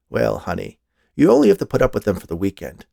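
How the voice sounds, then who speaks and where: A raspy, put-on character voice from a man at a very fast pace. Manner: reassuring, warm.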